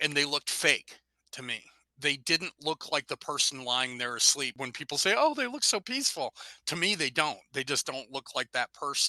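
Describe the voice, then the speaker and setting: With an American accent, a man uses an ordinary speaking voice at a moderate pace, showing ordinary pitch variation in a dry, close sound with no echo. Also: fairly high pitch for a man. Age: 60s. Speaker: rock musician. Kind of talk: interview.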